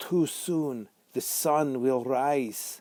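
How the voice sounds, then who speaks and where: This is a put-on character voice. It comes out as a growl. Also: man, medium pitch for a man. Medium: read story.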